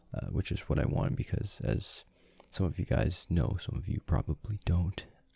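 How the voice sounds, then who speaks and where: Quietly and with vocal fry, a man with a very deep, low pitch speaks at a moderate pace. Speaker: small YouTube vlogger. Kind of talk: casual direct-to-camera talk. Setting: late at night at home recording.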